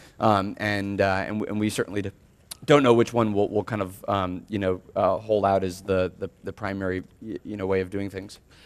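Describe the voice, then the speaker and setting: A man's fairly low-pitched voice in a monotone, flat intonation. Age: 20s. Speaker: tech company CEO. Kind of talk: interview answer. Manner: fast.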